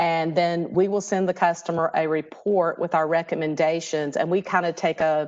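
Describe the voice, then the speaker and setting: Hardly pausing, a woman speaks with monotone, flat intonation and very even loudness. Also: fairly low pitch for a woman, moderate pace. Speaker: energy utility program manager. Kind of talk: webinar presentation. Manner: hesitant with fillers.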